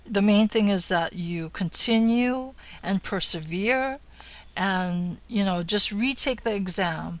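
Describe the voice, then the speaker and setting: A woman with a Hawaiian accent talks at a fairly slow pace and a medium pitch, with ordinary pitch variation. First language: Hawaiian mixed with other languages. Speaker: real estate broker. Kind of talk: tutorial.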